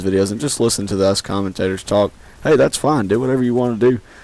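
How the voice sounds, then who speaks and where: A man's fairly low voice at a very fast pace. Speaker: gaming youtuber. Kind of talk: gameplay commentary. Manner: halting, filler-heavy.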